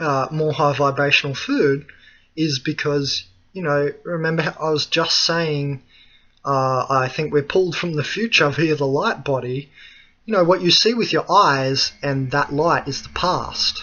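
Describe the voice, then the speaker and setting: This man has a fairly high pitch and speaks with an Australian accent. His pace is fairly slow and his pitch varies in an ordinary way. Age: 20s. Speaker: spiritual philosophy video blogger. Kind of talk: solo monologue talk. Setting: screencast recording. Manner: hesitant with many fillers. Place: home room. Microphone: webcam.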